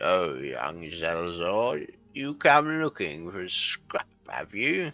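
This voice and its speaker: Putting on a gravelly character voice, a man talks at a fairly slow pace with a very deep, low pitch, very wide pitch swings and big swings in loudness, as faint music plays in the background. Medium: game stream. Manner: gruff, hearty.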